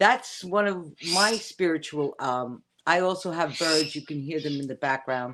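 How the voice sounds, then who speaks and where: Speaking in a Bronx accent, a woman has a very deep, low pitch. Her intonation is lively and her pace fairly slow. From New York City, the Bronx. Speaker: witch. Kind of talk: casual chat. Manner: halting.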